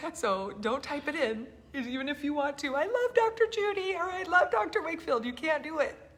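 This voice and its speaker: Over noticeable background noise, a woman talks at a fairly quick pace in a high pitch with very wide pitch swings. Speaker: health freedom activist host. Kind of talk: casual chat. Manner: soft-spoken, talking quietly.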